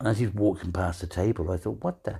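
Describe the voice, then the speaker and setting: A man speaks in a warm, dark, mellow tone, fairly low in pitch and somewhat breathy. The recording is very clean, with a silent background. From England. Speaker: podcast host. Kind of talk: elder life stories, a relaxed reminiscing monologue with amused anecdotes. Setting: living in Denmark. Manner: rambling, hesitant, filled with ums and restarts, warm and chatty; humorous, laughs at his own stories.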